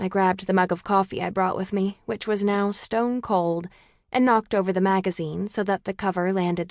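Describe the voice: Fairly even intonation in plain reading aloud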